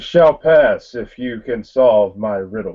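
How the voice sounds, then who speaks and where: A booming, put-on character voice unfolds at a fairly slow pace. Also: man. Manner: grand, commanding.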